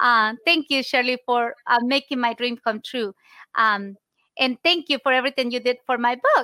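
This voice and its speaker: A woman with a Spanish accent speaks in a high pitch with a bright, sharp tone. Her pace is moderate and her intonation fairly even. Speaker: podcast host and insurance broker. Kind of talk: interview.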